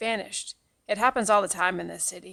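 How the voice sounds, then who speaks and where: Speaking at a very fast pace, a woman uses a raspy, put-on character voice at a medium pitch. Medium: read story. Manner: curt, hard.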